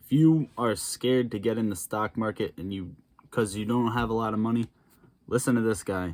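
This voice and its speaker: Here is a man with an ordinary speaking voice, pitched fairly low. His intonation is fairly even and his pace moderate. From Massachusetts. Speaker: stock trading YouTuber. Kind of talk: reaction commentary. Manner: casual.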